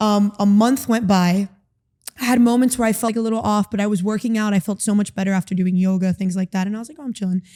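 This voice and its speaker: A woman with an American accent speaks at a very fast pace. Her tone is dark and mellow, her intonation fairly even. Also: medium pitch for a woman. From Miami, Florida. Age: 20s. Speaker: recovered therapy client. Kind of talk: interview. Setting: in-person interview.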